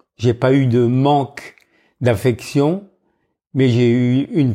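A man speaks at a very slow pace with a medium pitch. His tone is dark and mellow. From northern France. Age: 70s. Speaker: retired freediver. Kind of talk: life story interview.

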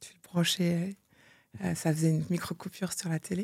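Her voice is fairly low, somewhat breathy and dark and mellow in tone. The woman talks at a fairly quick pace, recorded dry and close with no echo. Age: 40s. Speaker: entrepreneur and mother. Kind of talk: interview. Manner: animated.

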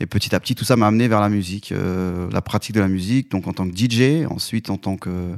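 A man with a plain, everyday voice speaks at a fairly low pitch and a fairly quick pace, with hardly any pauses and ordinary pitch variation. The recording is very clean with a silent background, and the sound is dry and close with no echo. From Lyon suburbs, France (Vénissieux). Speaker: concert producer. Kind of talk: interview. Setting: studio.

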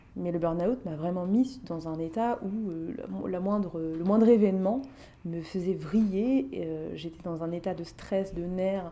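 A woman with a fairly low pitch speaks at a fairly slow pace with ordinary pitch variation, against noticeable background noise and audible room echo. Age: 30s. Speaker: life coach. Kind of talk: interview.

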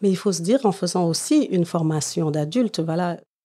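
A woman's fairly low voice, dark and mellow in tone, with ordinary pitch variation. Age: 50s. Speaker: nurse. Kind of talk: interview.

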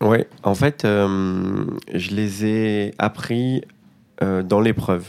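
A man's fairly low voice at a very slow pace, fairly even in intonation, with long, frequent pauses. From Marseille, northern districts, southern France. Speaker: restaurant entrepreneur. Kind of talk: interview testimony. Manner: halting, many repetitions and fillers.

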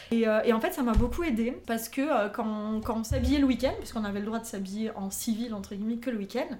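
A woman speaks at a fairly quick pace and a fairly high pitch, somewhat breathy, with a dark, mellow tone and ordinary pitch variation. Audible room echo surrounds her voice. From southern France, near Avignon. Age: 30s. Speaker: podcast guest, aspiring writer. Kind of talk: casual interview chat.

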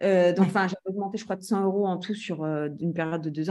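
At a medium pitch, a woman speaks with a dark, mellow tone. Her pace is fairly quick and her intonation fairly even. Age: 30s. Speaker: real estate trainer and entrepreneur. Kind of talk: interview.

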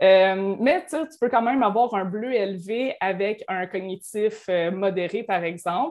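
Using a plain, everyday voice, a woman at medium pitch talks with ordinary pitch variation. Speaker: certified coach. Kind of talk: podcast interview.

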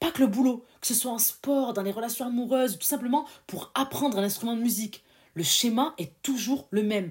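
A woman's fairly high, somewhat breathy voice, animated in tone and full of very wide pitch swings. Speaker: podcast host. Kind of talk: solo motivational podcast monologue.

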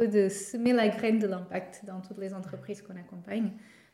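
A woman with a Portuguese accent speaks with fairly even intonation amid noticeable background noise and audible room echo. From Portugal. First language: Portuguese (speaking French). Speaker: startup co-founder. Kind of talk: interview. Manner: halting, with repetitions.

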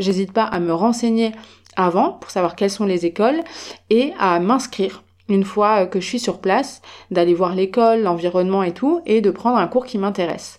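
Using a normal speaking voice, a woman talks at a moderate pace and a medium pitch with ordinary pitch variation. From France. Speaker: podcast host. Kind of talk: casual solo podcast talk.

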